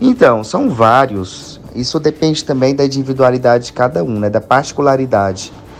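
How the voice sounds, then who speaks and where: A man talks at a moderate pace with ordinary pitch variation. Noticeable background noise sits behind him. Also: medium pitch for a man. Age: 20s. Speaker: marketing agency owner. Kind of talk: interview.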